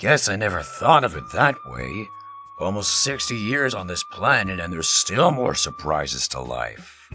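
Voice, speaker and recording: Over clear music in the background, a man puts on a raspy character voice, fairly low in pitch, at a moderate pace. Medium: dub.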